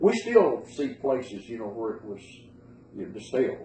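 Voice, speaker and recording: A man speaks with an Appalachian accent and ordinary pitch variation. Noticeable background noise and audible room echo fill the recording. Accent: Appalachian Southern US. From western North Carolina, Bryson City. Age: 70s. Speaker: interviewee recalling moonshining. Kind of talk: oral history interview.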